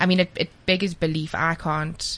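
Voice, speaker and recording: A woman talks at a moderate pace. She has a South African accent. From South Africa, KwaZulu-Natal. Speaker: radio host. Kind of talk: radio interview. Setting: studio.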